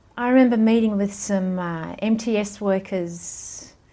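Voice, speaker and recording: Over a very clean recording with a silent background, a woman speaks at a very slow pace in a dark, mellow tone. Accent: Australian. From Malaysia and Sydney, Australia. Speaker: missionary and student ministry worker. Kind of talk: interview. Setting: in person.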